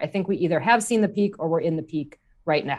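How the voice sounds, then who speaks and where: A woman with an American accent has an unremarkable speaking voice, fairly low in pitch with lively intonation. The background is quiet. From US Midwest, Wisconsin. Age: 30s. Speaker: market strategist. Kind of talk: casual market discussion.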